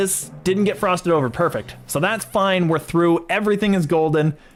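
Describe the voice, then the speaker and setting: A man's high-pitched voice at a fairly quick pace, with music in the background. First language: French. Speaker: video game streamer. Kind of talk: live gameplay commentary. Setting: livestream. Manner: stutter; casual and chatty.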